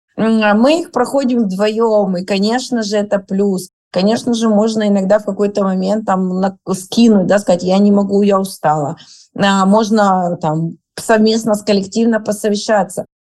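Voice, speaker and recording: This woman's voice sits at a medium pitch with a dark, mellow tone. She keeps her intonation fairly even and her pace fairly slow. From Rostov region, southern Russia. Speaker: clothing brand co-founder. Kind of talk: interview.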